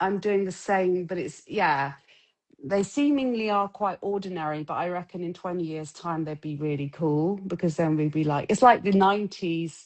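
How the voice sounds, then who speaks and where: A woman with a southern English accent and a fairly low pitch talks at a moderate pace with ordinary pitch variation. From southwest England. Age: 50s. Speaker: street photographer. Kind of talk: casual chat. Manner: halting.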